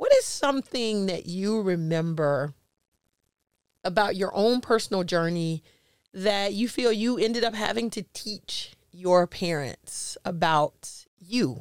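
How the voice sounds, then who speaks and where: In a very clean recording with a silent background, a woman speaks very slowly with an American accent. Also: medium pitch for a woman, lively intonation. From US South, Jacksonville, Florida. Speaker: podcast host and life coach. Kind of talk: casual interview chat.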